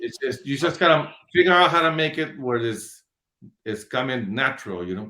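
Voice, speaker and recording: A man's bright, sharp voice, fairly high in pitch, at a moderate pace with lively intonation. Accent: Spanish. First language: Spanish. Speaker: hot sauce business owner. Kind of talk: casual interview.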